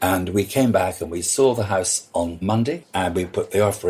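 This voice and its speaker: A man talks in a somewhat breathy voice with ordinary pitch variation, keeping a moderate pace. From Scotland. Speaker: party and events designer. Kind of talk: interview conversation. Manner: animated storytelling; hesitant, repeats words.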